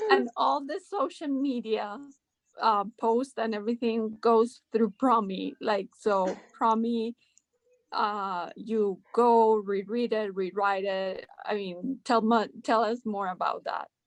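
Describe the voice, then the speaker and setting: A woman with a Spanish accent speaks at a very slow pace, her fairly high voice showing ordinary pitch variation. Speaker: podcast host. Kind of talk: interview.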